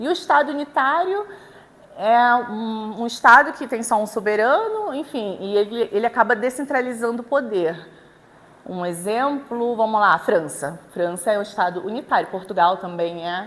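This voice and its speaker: Her intonation is lively. The woman has a fairly high pitch. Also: moderate pace. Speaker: law lecturer. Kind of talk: lecture. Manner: hesitant, many fillers and repetitions.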